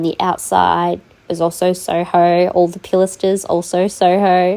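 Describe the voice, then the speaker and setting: At a fairly slow pace, a woman with an Australian accent speaks at a fairly low pitch in a dark, mellow tone. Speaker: gaming YouTuber. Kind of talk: tutorial. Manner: hesitant, many fillers.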